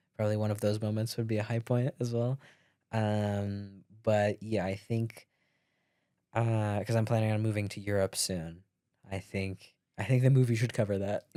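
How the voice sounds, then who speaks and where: A man talks at a moderate pace in a fairly low, dark, mellow voice with monotone, flat intonation. The recording is very clean and the background silent. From Latvia. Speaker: podcast guest, co-worker of host. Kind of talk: casual chat. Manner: casual, filler-heavy.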